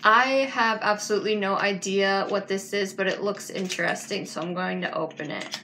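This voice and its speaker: Light background noise sits behind a woman's voice. She speaks at a moderate pace with fairly even intonation. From Canada. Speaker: book vlogger. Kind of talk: casual unboxing video. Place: home room. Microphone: phone near.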